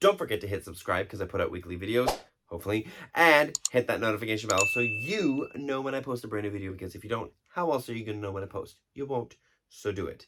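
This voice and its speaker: Talking at a very fast pace, a man sounds animated, with lively intonation. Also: medium pitch for a man. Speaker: movie reviewer. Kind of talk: video review outro. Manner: chatty, animated.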